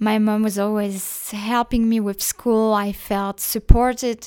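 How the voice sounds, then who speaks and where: A woman with a French accent speaks at a fairly slow pace in a medium pitch, her intonation monotone and flat. The recording is very clean, with a silent background. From northeastern France. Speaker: podcaster. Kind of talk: personal monologue. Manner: hesitant, many fillers.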